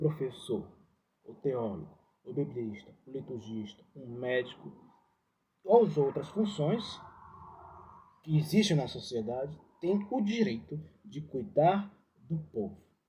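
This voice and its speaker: A man's somewhat breathy, fairly high voice with a dark, mellow tone, very wide pitch swings and big swings in loudness, at a very slow pace with long, frequent pauses. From Ceará, Brazil. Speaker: religious educator. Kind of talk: reflective talk. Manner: halting.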